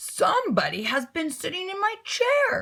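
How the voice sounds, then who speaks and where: A raspy, put-on character voice at a moderate pace, with very wide pitch swings. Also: woman, extremely high pitch for a woman. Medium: read story. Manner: gruff, booming.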